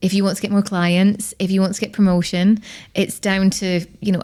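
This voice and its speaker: A woman's dark, mellow tone in a Scottish accent, at a fairly quick pace. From Scotland. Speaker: personal branding expert. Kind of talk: podcast interview.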